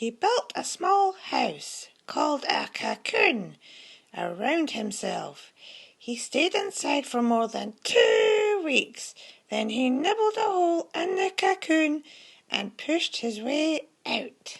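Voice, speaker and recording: At a very slow pace, a put-on character voice speaks with a high pitch. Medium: read story.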